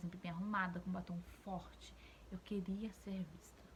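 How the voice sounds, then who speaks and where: A woman speaks at a medium pitch with a somewhat breathy voice. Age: 20s. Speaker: YouTuber, mother of two. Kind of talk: casual vlog commentary to camera.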